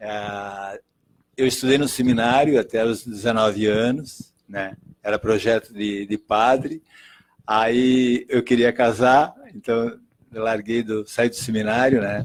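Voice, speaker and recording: At a very slow pace, a man talks at medium pitch with fairly even intonation. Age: 70s. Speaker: interviewee, family elder. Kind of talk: casual interview.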